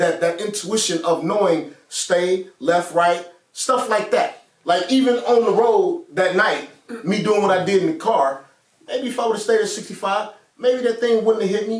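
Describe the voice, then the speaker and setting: The voice is loud and animated in tone. Its intonation is lively. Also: man, high pitch for a man, moderate pace. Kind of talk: casual chat.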